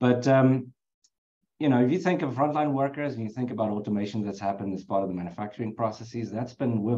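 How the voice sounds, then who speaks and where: A very fast man's voice with a South African accent, a dark, mellow tone and ordinary pitch variation. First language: Afrikaans. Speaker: HR executive. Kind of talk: webinar interview.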